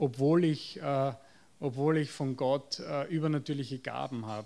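A man with a Viennese accent, at a fairly slow pace. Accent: Viennese Austrian German. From Austria, Vienna. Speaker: psychotherapist. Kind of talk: lecture. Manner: halting, with fillers and repetitions.

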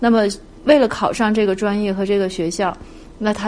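Her medium-pitched voice carries fairly even intonation as this woman speaks. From China. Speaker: parent of university student. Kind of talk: interview. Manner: hesitant, with many fillers.

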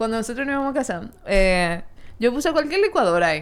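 A woman with a high pitch talks very fast, her pitch swinging very widely. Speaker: podcast host. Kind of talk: casual chat.

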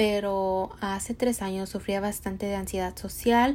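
A woman talks at a moderate pace and medium pitch. Her intonation stays fairly even. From Mexico. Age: 20s. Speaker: podcast host and entrepreneur. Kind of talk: motivational monologue.

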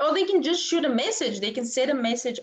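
A woman with a Bulgarian accent speaks in very wide pitch swings. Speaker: business coach. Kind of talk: interview.

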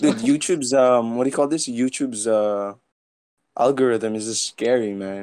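A man at medium pitch and moderate pace, with ordinary pitch variation, talks in an unremarkable speaking voice. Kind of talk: casual chat. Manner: rambling, laughs often.

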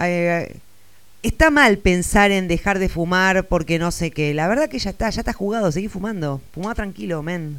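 A very clean recording with a silent background, its speech at a moderate pace. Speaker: radio host. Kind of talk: casual chat.

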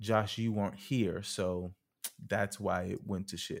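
Over a silent background in a very clean recording, a man speaks with fairly low pitch. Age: 20s. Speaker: podcast host. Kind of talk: casual chat. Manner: animated.

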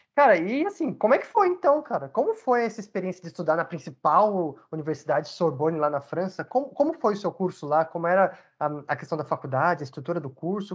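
The pace is very fast, with hardly any pauses. The background is quiet. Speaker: podcast host. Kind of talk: casual interview.

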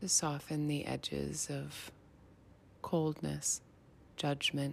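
Someone with an American accent speaks at a very slow pace on a very clean recording with a silent background. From Montana. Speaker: meditation teacher. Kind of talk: guided meditation. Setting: at home by a fire. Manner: soft-spoken.

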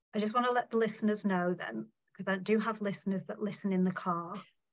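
Fairly even intonation and a medium pitch mark a woman's voice, an ordinary speaking voice. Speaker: podcast host. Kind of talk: casual interview chat.

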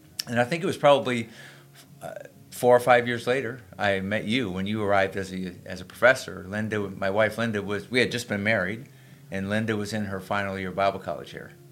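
In an American accent, a man with an unremarkable speaking voice talks at a fairly quick pace, his fairly low pitch holding fairly even intonation while his loudness swings widely. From Springfield, Massachusetts. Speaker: pastor. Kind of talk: casual chat.

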